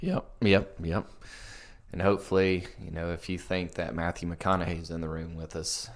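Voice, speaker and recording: A man with a Southern US accent, very deep and low in pitch, at a moderate pace with fairly even intonation. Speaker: soccer podcast co-host. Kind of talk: casual chat. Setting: home basement.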